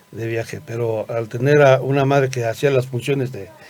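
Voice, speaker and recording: Amid noticeable background noise, a man with a medium pitch talks fairly slowly, his intonation fairly even. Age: 60s. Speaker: medical school director. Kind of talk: interview. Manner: halting, many fillers.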